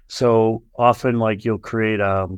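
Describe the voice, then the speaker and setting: Against a quiet background, a man with an American accent speaks in a normal speaking voice at a fairly low pitch and fairly slow pace, with fairly even intonation. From US Northeast, Boston area. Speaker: venture capital investor. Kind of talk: casual chat.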